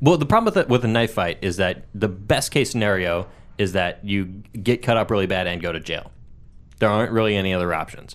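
This man has a plain, everyday voice with ordinary pitch variation. His pitch is fairly low. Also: fairly quick pace. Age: 20s. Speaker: podcast co-host. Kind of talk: casual chat.

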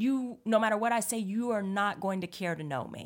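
Recorded very cleanly against a silent background, a woman speaks with an American accent. Her tone is animated and her intonation lively. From Northern California. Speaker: comedic performer. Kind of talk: casual chat.

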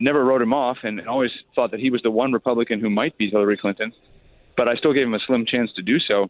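His pace is very fast. The man, with an American accent, has a medium pitch and ordinary pitch variation. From Chicago. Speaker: journalist and author. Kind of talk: radio interview. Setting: hotel during inauguration crowds.

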